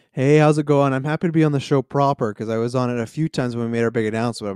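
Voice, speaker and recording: Talking at a very fast pace, a man has a Western Canadian accent and ordinary pitch variation. His voice sounds dry and close, with no echo. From Canada, Kelowna, British Columbia. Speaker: podcast guest. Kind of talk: casual chat.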